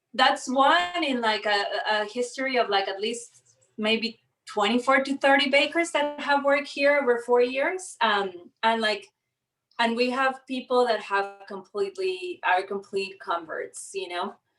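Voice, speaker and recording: Fairly slow, lively speech from a woman at a high pitch, with music in the background. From Costa Rica. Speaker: baker and cookbook author. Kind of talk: casual conversation. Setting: video call. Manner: hesitant, many fillers.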